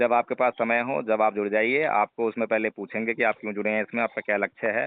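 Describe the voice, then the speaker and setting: Here a man's voice sits at a medium pitch. It stays monotone and flat throughout. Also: moderate pace. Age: 40s. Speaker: Buddhist teacher. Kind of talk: phone conversation.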